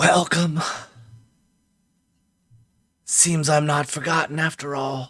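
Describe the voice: Doing a put-on character voice, a man speaks raspy and monotone, with flat intonation, at a fairly high pitch and a fairly slow pace, leaving long, frequent pauses.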